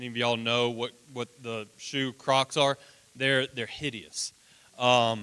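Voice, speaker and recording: At a fairly slow pace, a man speaks loudly at medium pitch with fairly even intonation and a bright, sharp tone, in a dry, close sound with no echo. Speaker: children's ranch houseparent. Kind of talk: presentation to congregation. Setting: church.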